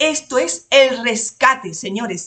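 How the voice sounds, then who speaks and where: A woman speaks in an Andalusian accent with ordinary pitch variation. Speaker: lawyer and exam-prep tutor. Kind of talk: lecture to exam candidates. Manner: casual, colourful.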